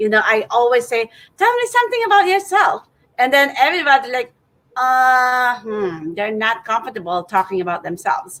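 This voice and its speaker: A woman's high, bright, sharp voice in a non-native accent, with very wide pitch swings and a moderate pace. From Philippines. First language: not English. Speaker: networking event founder, host. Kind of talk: casual interview chat. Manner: halting, many fillers.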